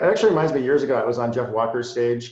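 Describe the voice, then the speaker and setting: In an American accent, a man speaks at a very fast pace. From Massachusetts. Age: 40s. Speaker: marketer and copywriter. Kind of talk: interview. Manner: boisterous.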